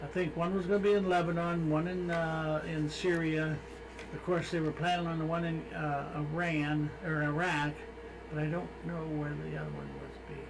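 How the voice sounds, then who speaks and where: A man speaks at a fairly high pitch and moderate pace with fairly even intonation. The room echo is audible and the background noise noticeable. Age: 70s. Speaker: radio host. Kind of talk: casual chat.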